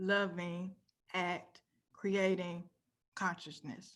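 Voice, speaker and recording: The voice moves at a very slow pace in a monotone, flat intonation. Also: woman. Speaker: cybersecurity career speaker. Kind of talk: conference talk.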